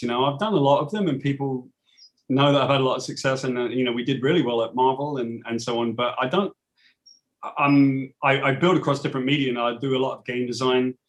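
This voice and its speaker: Very fast speech in a British accent. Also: man. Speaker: comic book writer. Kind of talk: interview.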